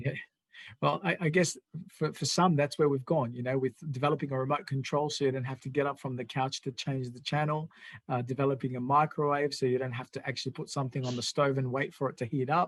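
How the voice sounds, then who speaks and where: In a very clean recording with a silent background, a man speaks very fast at a fairly high pitch, somewhat breathy, with fairly even intonation. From immigrant to Australia. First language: not English (English is third language). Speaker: political party show host. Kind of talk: interview chat.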